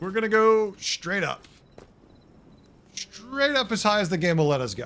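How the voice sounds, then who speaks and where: Over noticeable background noise, a man with a Boston accent speaks in a high voice, animated in tone with lively intonation. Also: moderate pace. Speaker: game streamer. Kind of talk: casual live-stream chat.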